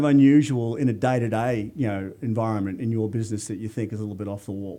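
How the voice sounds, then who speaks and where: This man speaks with an Australian accent in a dark, mellow tone. He talks at a very fast pace. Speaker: radio host. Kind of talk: radio interview.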